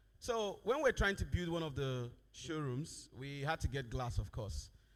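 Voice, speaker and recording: A man speaks at a fairly slow pace. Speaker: company managing director. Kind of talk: conference presentation.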